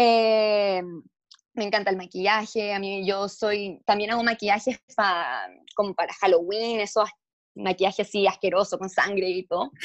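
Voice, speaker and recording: At a medium pitch and moderate pace, a woman speaks in a normal speaking voice with fairly even intonation. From Chile, then moved to the US. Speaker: beauty pageant contestant. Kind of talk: casual interview.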